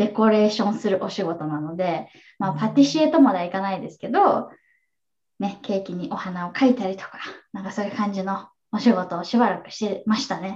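The voice is somewhat breathy and moves at a fairly quick pace. Its pitch variation is ordinary, while the loudness swings widely. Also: woman, medium pitch for a woman. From Japan, Kanagawa. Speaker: online English teacher. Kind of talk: interview.

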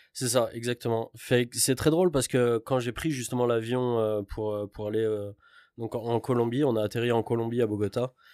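A man with an unremarkable speaking voice talks at a moderate pace and medium pitch, his intonation fairly even. The recording is very clean and silent behind him, with a dry, close sound and no echo. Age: 30s. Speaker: traveller, construction worker. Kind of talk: casual chat.

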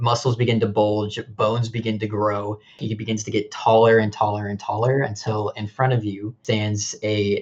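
Just a natural reading voice

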